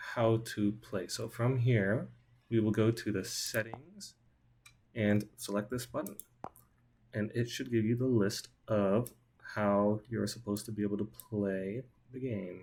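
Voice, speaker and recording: A somewhat breathy man at a fairly slow pace, with fairly even intonation and long, frequent pauses. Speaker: student. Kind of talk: software demo.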